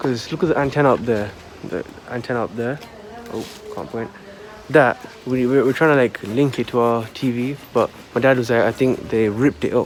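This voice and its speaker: Amid noticeable background noise, a soft-spoken man talks at a fairly quick pace with long, frequent pauses and ordinary pitch variation. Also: medium pitch for a man. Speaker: vlogger. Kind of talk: casual vlog narration. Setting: outdoors in garden.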